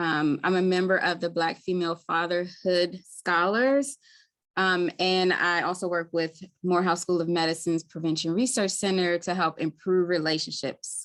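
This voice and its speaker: A woman speaks in a Baltimore accent at a fairly low pitch with fairly even intonation. Her loudness is very even, and the background is quiet. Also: moderate pace. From Baltimore, Maryland. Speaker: community health worker. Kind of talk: webinar presentation. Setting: live webinar.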